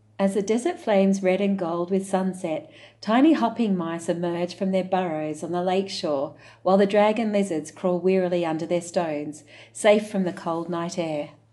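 Her voice has a dark, mellow, gentle tone at a medium pitch with ordinary variation. The woman speaks at a moderate pace. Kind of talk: picture book read-aloud. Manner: gentle, measured storyteller pacing.

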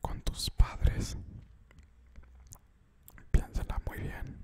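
Loud background noise fills the clip as a man whispers, soft-spoken. He goes at a very slow pace. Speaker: ASMR creator. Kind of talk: soft-spoken ASMR talk. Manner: soft close-mic ASMR whisper. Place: home room. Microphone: studio mic.

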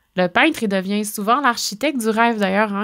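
A woman speaks at a fairly high pitch in a Quebec accent. The recording is very clean, with a silent background. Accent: Québécois French. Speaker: podcast host on stones and crystals. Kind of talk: solo monologue, storytelling talk. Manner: warm, intimate; laughs often.

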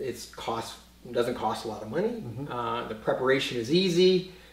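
There is audible room echo around the voice. A man talks at a moderate pace. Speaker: espresso website host giving advice. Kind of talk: conversational tutorial. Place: kitchen.

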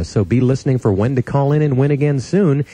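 A man with an American accent speaks at medium pitch, somewhat breathy, in a dark, mellow tone with a dry sound and no echo. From Las Vegas, USA. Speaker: radio announcer. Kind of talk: radio station aircheck, on-air announcer patter. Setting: radio broadcast. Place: studio. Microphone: studio mic.

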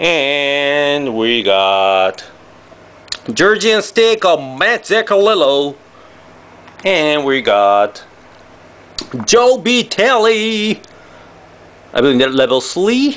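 This man talks at a very slow pace with a high pitch, very wide pitch swings, very even loudness, and long, frequent pauses. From Japan. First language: Japanese. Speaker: trading card box break youtuber. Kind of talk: card unboxing commentary. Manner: animated. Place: home room. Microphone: camera far.

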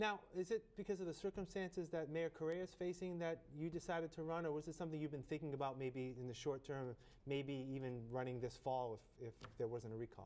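At a fairly quick pace with few pauses, a man with a fairly high pitch and slightly mellow tone keeps his intonation fairly even.

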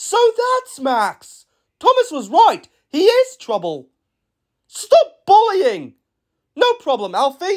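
In a put-on character voice at an extremely high pitch, the speaker goes very slowly with long, frequent pauses, on a very clean recording against a silent background. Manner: friendly, eager.

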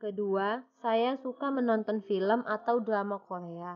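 A woman with an unremarkable speaking voice and a fairly high pitch. She talks at a fairly slow pace with ordinary pitch variation. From Batam, Riau Islands, Indonesia. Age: young. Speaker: student volunteer applicant. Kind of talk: self-introduction video. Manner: formal.

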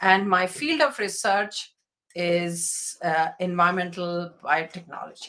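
The background is quiet as a woman speaks at a fairly slow pace in a bright, sharp tone. Her pitch is medium, with ordinary variation. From India, schooled across the country. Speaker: environmental engineering professor. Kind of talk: lecture. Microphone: webcam.

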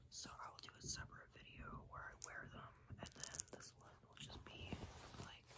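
Over loud background noise, a woman is soft-spoken. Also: moderate pace. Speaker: ASMR creator. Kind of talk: casual vlog chat. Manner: soft, hushed ASMR talk. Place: home room. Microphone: phone near.

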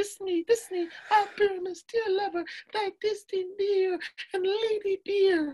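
An extremely high, squeaky, put-on character voice delivers its lines in a theatrical tone at a fairly slow pace, with long, frequent pauses. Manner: affected, theatrical.

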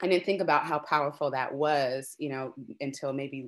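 A woman with an American accent speaks in a very deep, low pitch. The background is quiet. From US Midwest. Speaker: ethnomusicologist and arts administrator; panelist. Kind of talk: panel discussion. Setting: video call. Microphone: video call.

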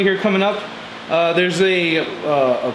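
A man's voice with ordinary pitch variation against noticeable background noise. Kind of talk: tutorial. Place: garage. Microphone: camera far.

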